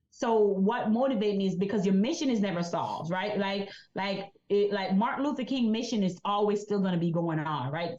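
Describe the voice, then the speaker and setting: Speaking with a Jamaican accent, a woman of medium pitch uses lively intonation at a fairly quick pace. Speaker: insurance agent and business coach. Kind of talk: interview.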